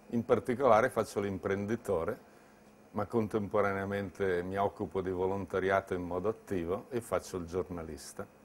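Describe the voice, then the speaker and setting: Light background noise sits behind a man with a fairly low pitch. He talks at a moderate pace with fairly even intonation. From Lombardy, Bergamo; Lombardy. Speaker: entrepreneur. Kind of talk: interview monologue.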